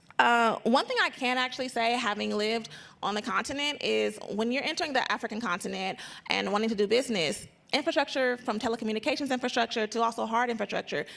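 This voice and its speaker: A woman talks at a very fast pace with vocal fry. Her pitch is fairly high, with ordinary pitch variation. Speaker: trade coordinator at a chamber of commerce. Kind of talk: panel discussion. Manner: halting.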